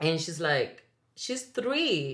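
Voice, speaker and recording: Someone with a Spanish accent speaks at a fairly slow pace with very wide pitch swings. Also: woman. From Dominican Republic. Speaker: singer and actress. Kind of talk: casual conversation interview.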